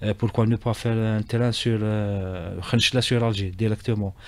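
This man talks at a very slow pace with a fairly low pitch, in a dry sound with no echo. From Algeria. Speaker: railway company executive; radio guest. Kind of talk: radio interview. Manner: halting, many repetitions and hesitations. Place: studio. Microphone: studio mic.

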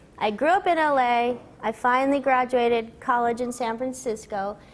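Her pitch is high for a woman, with ordinary variation. She keeps a moderate pace. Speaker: voice actress guest. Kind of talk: interview answer. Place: stage. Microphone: lapel.

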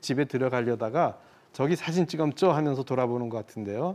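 A man talks at a fairly quick pace in a plain, everyday voice, with ordinary pitch variation over a quiet background. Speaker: photographer. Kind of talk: explanatory talk on a broadcast segment.

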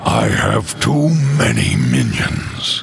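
Putting on a character voice, a man with a low pitch, vocal fry and a fairly bright tone talks at a very slow pace while his pitch swings very widely.

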